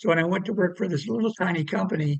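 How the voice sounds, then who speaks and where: A high-pitched man speaks at a very fast pace. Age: 80s+. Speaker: inventor. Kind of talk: interview. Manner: halting.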